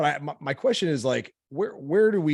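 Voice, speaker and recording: A man talks at a fairly quick pace with ordinary pitch variation, in a plain, everyday voice. The recording is very clean, with a silent background. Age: 30s. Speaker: podcast host, health coach. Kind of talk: podcast interview.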